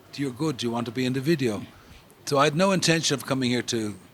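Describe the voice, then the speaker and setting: Speaking at a very fast pace, a man with an Irish accent uses a medium pitch with ordinary pitch variation. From Ireland. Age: 70s. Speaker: music industry promoter. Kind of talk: interview.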